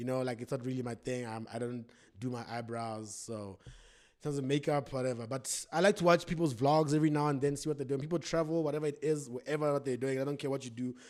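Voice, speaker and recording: A man talks at a very fast pace in an animated tone, with medium pitch and ordinary pitch variation. The recording is very clean, with a silent background. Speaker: YouTuber. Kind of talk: casual Q&A vlog. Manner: loud.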